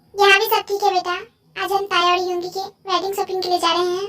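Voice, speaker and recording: In a put-on character voice, a female-sounding speaker goes squeaky and extremely high-pitched at a very fast pace, yet with monotone, flat intonation. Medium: fan dub. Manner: warm, motherly.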